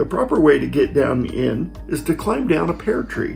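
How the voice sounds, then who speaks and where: Background music under a man speaking fairly slowly. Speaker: storyteller grandfather. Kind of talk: reading aloud.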